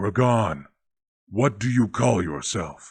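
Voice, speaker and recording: Putting on a character voice, a man speaks at a fairly slow pace with a fairly low pitch. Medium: read story. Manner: commanding, measured.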